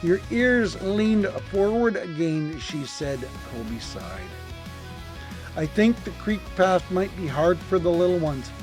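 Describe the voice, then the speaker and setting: Music plays behind a man's voice. He talks at a fairly slow pace. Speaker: storyteller. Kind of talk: bedtime story reading. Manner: warm, gentle.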